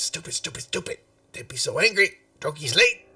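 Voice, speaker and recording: A put-on character voice at a fairly quick pace. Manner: frantic, panicked.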